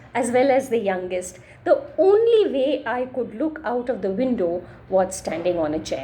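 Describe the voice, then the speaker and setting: A woman talks at a fairly slow pace. She has a Marathi accent. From India, Maharashtra. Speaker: storyteller. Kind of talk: reading aloud.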